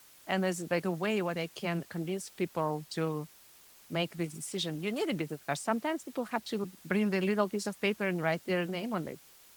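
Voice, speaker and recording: Speaking at a fairly quick pace with a Russian accent, a woman uses a medium pitch and ordinary pitch variation, and the sound is dry and close with no echo. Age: middle-aged. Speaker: print shop co-owner. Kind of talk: podcast interview.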